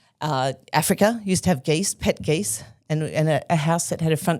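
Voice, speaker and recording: A woman with an Australian accent, very deep and low in pitch, at a fairly quick pace with ordinary pitch variation, on a very clean recording with a silent background. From Australia (Melbourne), childhood also abroad. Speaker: arts festival producer. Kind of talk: interview. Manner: halting, many restarts.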